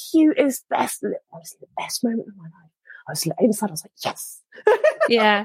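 Fairly high, somewhat breathy female voice with very wide pitch swings and long, frequent pauses, in a dry, close sound with no echo. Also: moderate pace. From Oman and England. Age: 40s. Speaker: mountain biker and women's circle facilitator. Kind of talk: casual chat.

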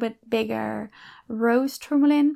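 In a very clean recording with a silent background, a woman speaks at a fairly slow pace. Her pitch is fairly high, with ordinary variation. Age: 30s. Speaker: podcast host, coach and ex-elite gymnast. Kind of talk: solo monologue. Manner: halting.

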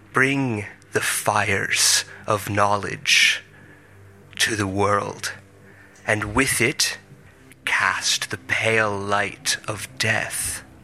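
Over music in the background, a man uses a put-on character voice, raspy and menacing in tone, with a fairly low pitch. He goes at a very slow pace with long, frequent pauses. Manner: grandiose, prophetic, calmly menacing.

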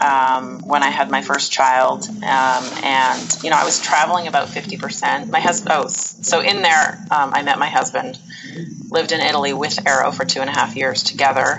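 A woman with a western Canadian accent talks in a very deep, low pitch with lively intonation. Noticeable background noise sits behind her. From Canada, Edmonton, Alberta. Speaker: Italy travel business owner. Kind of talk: interview.

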